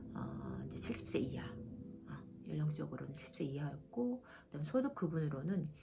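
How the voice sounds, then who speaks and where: With noticeable background noise and audible room echo, a woman's speech proceeds at a moderate pace. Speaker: vlogger, cancer patient. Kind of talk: casual explanatory vlog. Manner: hesitant, many fillers.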